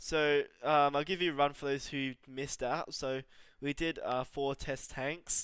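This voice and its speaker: A man speaks fairly slowly with a fairly high pitch and flat, monotone intonation. The recording is very clean, with a silent background. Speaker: gaming streamer. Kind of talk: live gameplay commentary. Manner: flat, restrained delivery.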